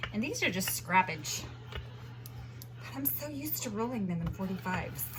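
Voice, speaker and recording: Noticeable background noise and audible room echo are present. The pace is moderate. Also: woman. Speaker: home baking vlogger. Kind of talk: unscripted cooking tutorial.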